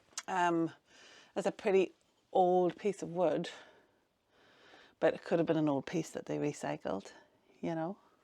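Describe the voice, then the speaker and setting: Mumbling in a Northern Irish accent, a woman speaks with a fairly low, dark, mellow voice, fairly even intonation and long, frequent pauses, on a very clean recording with a silent background. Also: moderate pace. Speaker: vlogger renovating a cottage. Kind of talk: casual vlog narration. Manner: soft, not projected.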